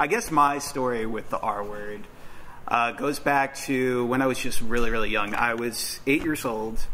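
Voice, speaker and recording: Noticeable background noise sits behind a man at medium pitch. He talks at a moderate pace with fairly even intonation. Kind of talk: live personal speech to an audience. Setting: on stage at a college event. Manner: hesitant, emotional, with pauses and restarts.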